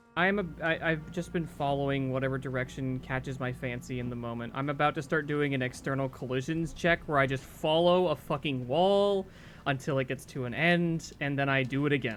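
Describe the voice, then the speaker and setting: Someone speaks at a fairly quick pace with hardly any pauses while music plays in the background. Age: young. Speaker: streamer. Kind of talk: casual chat. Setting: live stream while gaming. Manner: animated.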